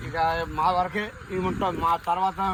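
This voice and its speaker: High pitch from a man, with noticeable background noise behind. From Andhra Pradesh, Kolleru Lake area. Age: 70s. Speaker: fisherman villager. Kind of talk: interview testimony.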